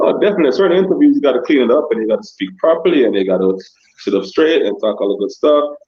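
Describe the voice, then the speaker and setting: A man talks at a very fast pace with a Jamaican accent. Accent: kept Jamaican. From Jamaica-born, raised in Scarborough, Toronto. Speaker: dancehall artist and DJ. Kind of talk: interview on a live stream.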